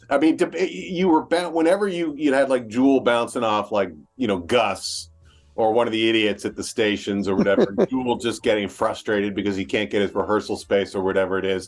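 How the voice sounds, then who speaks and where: Music plays in the background. A man talks at a fairly quick pace and medium pitch with lively intonation. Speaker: interviewer. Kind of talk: interview host talk.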